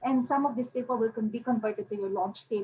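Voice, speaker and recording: Pitched fairly high, a woman with an unremarkable speaking voice shows ordinary pitch variation. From Philippines. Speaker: self-published author. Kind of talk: webinar presentation. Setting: online webinar. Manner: Taglish code-switching.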